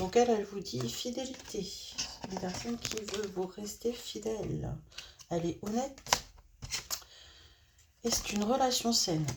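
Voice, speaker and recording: A woman at a fairly slow pace with long, frequent pauses, medium pitch and ordinary pitch variation, over noticeable background noise. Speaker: tarot card reader. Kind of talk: tarot reading. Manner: hesitant, many fillers.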